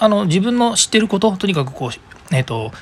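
A man's high-pitched voice at a fairly quick pace, over noticeable background noise. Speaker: podcast host. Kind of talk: solo podcast monologue. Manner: fast.

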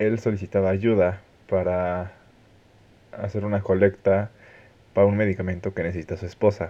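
A man talks at a moderate pace and a fairly low pitch over a quiet background. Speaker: podcast host. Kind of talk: interview. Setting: phone call.

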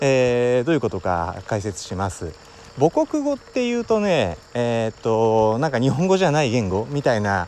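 With very wide pitch swings around a medium pitch, a man talks at a moderate pace. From Wakayama, Japan. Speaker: podcast host. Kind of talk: solo talk monologue.

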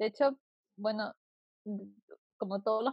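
A woman speaks at a fairly high pitch in a Chilean accent. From southern Chile (Puerto Montt). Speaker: journalism student. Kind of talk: casual chat.

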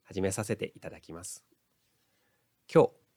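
The recording of this man's voice is dry and close, with no echo. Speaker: counselor and lecturer. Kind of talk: solo audio podcast monologue. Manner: occasionally stumbling over words.

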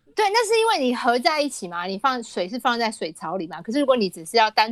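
In a dry, close sound with no echo, a woman talks very fast at a fairly high pitch with lively intonation. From Taiwan. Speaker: author. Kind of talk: casual chat.

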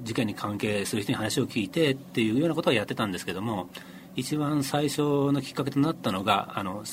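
A man speaks at a fairly quick pace with lively intonation. His pitch sits in the medium range. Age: 50s. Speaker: freelance journalist. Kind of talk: interview. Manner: halting.

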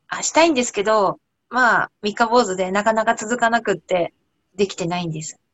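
Talking at a fairly quick pace, a woman shows ordinary pitch variation. Her loudness swings widely. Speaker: cooking researcher. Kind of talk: casual chat.

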